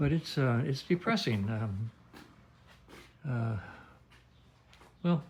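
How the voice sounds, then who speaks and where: A man at medium pitch speaks at a very slow pace with long, frequent pauses. His intonation is lively and his voice somewhat breathy. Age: 80s+. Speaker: vintage motorcycle mechanic. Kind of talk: workshop video log. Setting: in his motorcycle workshop. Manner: casual, halting with fillers.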